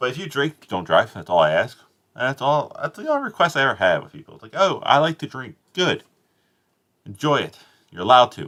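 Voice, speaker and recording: A man with an American accent talks at a fairly quick pace, with big swings in loudness. The recording is very clean, with a silent background. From South Jersey, US. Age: adult. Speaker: streamer. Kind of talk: live stream commentary. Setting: live stream, home, sitting on bed. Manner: casual, rambling.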